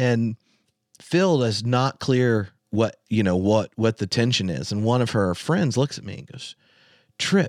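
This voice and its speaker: A man with an American accent speaks at a fairly slow pace, in a normal speaking voice at a medium pitch. His intonation is lively, and the sound is dry and close with no echo. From North Carolina, US South. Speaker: theologian and podcaster. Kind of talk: casual chat. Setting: video call.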